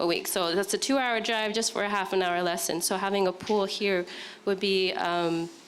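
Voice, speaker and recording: A woman talks over noticeable background noise. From Hawaii (Laie, Oahu). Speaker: parent at community meeting. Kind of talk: public comment at community meeting. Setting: community meeting in school.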